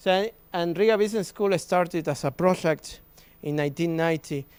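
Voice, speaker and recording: A fairly high-pitched man with a Spanish accent, at a moderate pace with ordinary pitch variation, on a very clean recording with a silent background. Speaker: business school professor. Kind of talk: presentation at an open day. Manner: halting.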